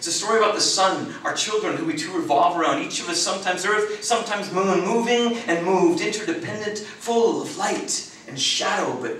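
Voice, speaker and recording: With light background noise and audible room echo, a man speaks at a high pitch and a moderate pace. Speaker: performance poet. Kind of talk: spoken word poetry performance. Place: meeting room.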